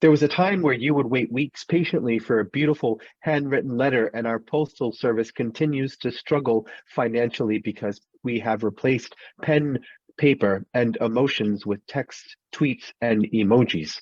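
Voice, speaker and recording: A man at medium pitch, with ordinary pitch variation and a moderate pace. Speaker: spoken word poet. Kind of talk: poetry reading. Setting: online call. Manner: calm, composed.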